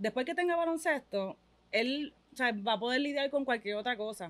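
A woman with a Puerto Rican accent talks at a very fast pace. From Puerto Rico. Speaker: mother of a young athlete; interviewee. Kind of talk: casual interview. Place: studio. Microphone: studio mic.

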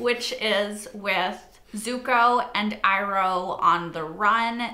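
This woman's voice comes with audible room echo. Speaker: reaction video host. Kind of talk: casual vlog chat. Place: home room. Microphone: lapel.

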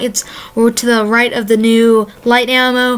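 A woman's high-pitched, enthusiastic voice over noticeable background noise. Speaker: gaming YouTuber. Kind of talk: casual video commentary. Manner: casual, filler-heavy, enthusiastic.

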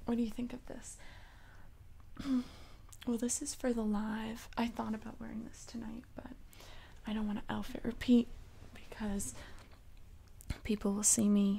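A soft-spoken, somewhat breathy woman with a dark, mellow tone and monotone, flat intonation, at a moderate pace with long, frequent pauses. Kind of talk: soft roleplay chat to the viewer. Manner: soft-spoken, intimate, close-mic. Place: home room. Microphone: studio mic.

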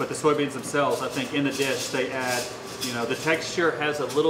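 Noticeable background noise sits under this recording. A man speaks at a fairly quick pace in a monotone, flat way. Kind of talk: interview answer.

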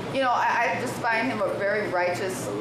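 Over loud background noise and audible room echo, a woman talks with ordinary pitch variation. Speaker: guest. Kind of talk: interview answer. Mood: relaxed, warm. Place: bar.

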